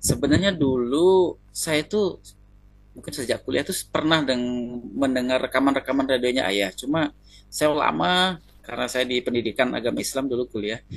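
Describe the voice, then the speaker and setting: This man has a medium-pitched voice and lively intonation. He speaks at a moderate pace. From East Kalimantan, Indonesia. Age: 30s. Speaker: consultation client. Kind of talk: consultation interview. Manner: halting.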